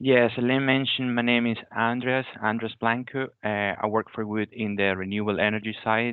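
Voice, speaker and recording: A man speaks with a Venezuelan accent. His intonation is fairly even. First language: Spanish. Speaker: graduate renewable energy engineer. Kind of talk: careers talk. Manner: halting.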